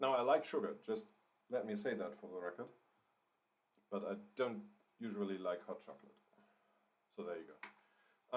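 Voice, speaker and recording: Speaking with a German accent, a man shows big swings in loudness, very wide pitch swings, and long, frequent pauses. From Germany. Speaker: writer and livestreamer. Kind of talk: live writing stream, casual chat. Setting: livestream. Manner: hesitant, many fillers and repeats.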